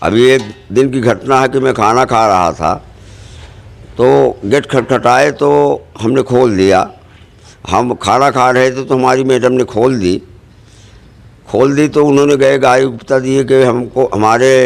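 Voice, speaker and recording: A man talks with long, frequent pauses and fairly even intonation. His loudness stays very even. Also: medium pitch for a man. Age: 60s. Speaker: local party worker making allegations. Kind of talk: news interview.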